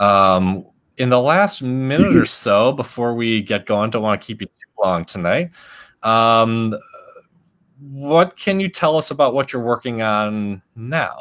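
Here is a man with an American accent and a plain, everyday voice at medium pitch. He speaks at a fairly slow pace with lively intonation. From Chicago. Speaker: science outreach host. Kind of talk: interview. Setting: video call.

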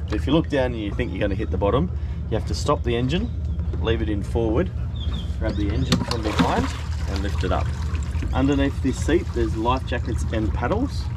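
Loud background noise behind a man's fairly quick speech. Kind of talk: instructional explanation. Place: boat. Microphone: phone near.

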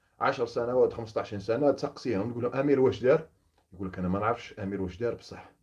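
Speaking at a fairly quick pace, a man has a medium-pitched, somewhat breathy voice with ordinary pitch variation against a quiet background. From Algeria, Oran; Algeria. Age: 30s. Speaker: former gendarme turned opposition activist. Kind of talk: monologue to camera. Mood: earnest, indignant. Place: home room. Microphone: phone near.

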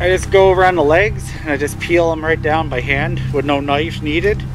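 Against noticeable background noise, a man speaks in a dry sound with no echo. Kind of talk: casual vlog chat. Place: forest. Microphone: phone near.

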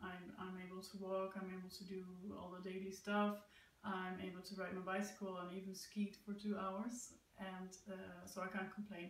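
With audible room echo, a woman speaks at medium pitch and a moderate pace in a monotone, flat intonation. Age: 30s. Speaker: amputee sharing personal story. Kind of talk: personal testimony. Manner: hesitant, many fillers. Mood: calm, positive, reflective. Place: home room. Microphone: camera far.

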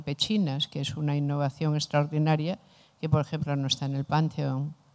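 This woman has a very deep, low-pitched voice. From Spain. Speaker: philosopher; philosopher lecturer. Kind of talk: lecture. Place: classroom. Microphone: handheld.

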